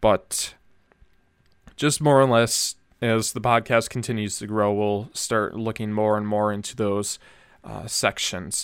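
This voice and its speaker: Speaking at a fairly slow pace with long, frequent pauses, a man with a Minnesota accent uses a fairly low pitch and fairly even intonation. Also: very clean recording, silent background. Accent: Upper Midwest American (Minnesota). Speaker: podcast host. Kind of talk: solo monologue, casual podcast talk. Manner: casual with frequent fillers and false starts.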